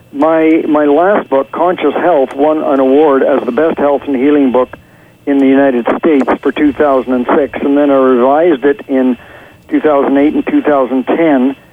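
This man has a fairly high pitch and speaks at a fairly slow pace with fairly even intonation. His loudness stays very even, and there is noticeable background noise. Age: 70s. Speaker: author, former teacher. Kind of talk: interview answers. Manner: conversational, hesitant with fillers.

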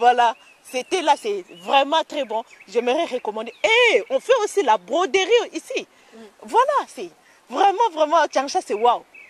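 Over noticeable background noise in a dry, close recording with no echo, a woman with a high pitch speaks fairly slowly, leaving long, frequent pauses as her pitch swings very widely. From DR Congo. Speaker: student. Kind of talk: interview. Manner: halting.

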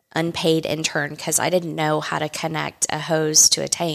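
Very deep and low for a female voice, a woman talks with an American accent. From South Texas. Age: 50s. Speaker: winery co-owner and winemaker. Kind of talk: interview.

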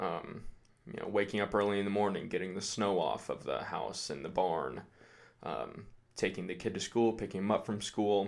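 The recording is very clean, with a silent background, as a man speaks at a moderate pace. His voice sits at a fairly low pitch with vocal fry and ordinary pitch variation. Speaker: aspiring army recruit. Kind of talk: interview.

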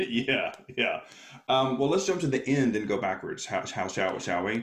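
Over noticeable background noise, a man in an American accent talks at a moderate pace, his medium-pitched voice carrying lively intonation. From US South, Alabama. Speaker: speaker and coach. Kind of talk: casual interview.

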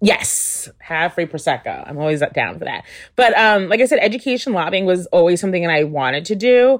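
Speaking at a fairly quick pace in a New York State accent, a woman uses medium pitch and lively intonation on a very clean recording with a silent background. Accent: American, New York State. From upstate New York (Albany). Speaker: political communications specialist. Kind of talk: interview conversation.

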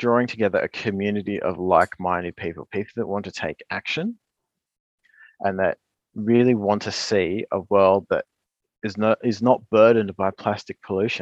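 In an Australian accent, the speaker talks at a moderate pace with fairly even intonation, the sound dry and close with no echo against a quiet background. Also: man. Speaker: environmental scientist and author. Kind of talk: interview. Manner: hesitant with fillers.

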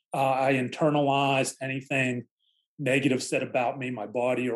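A man with an American accent has an ordinary speaking voice at a medium pitch. He speaks at a moderate pace. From Pittsburgh area, Pennsylvania. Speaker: author and non-practicing lawyer. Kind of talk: interview testimony.

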